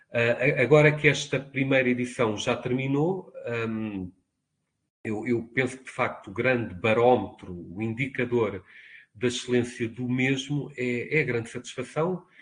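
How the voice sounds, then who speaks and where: At a fairly slow pace, a man speaks somewhat breathily at medium pitch with ordinary pitch variation. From Portugal, Lisbon. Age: 50s. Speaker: university professor. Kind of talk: interview. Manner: formal.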